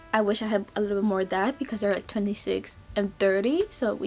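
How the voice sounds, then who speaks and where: A woman with a non-native accent. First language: not English. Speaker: book vlogger. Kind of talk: casual book review vlog. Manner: halting, self-correcting.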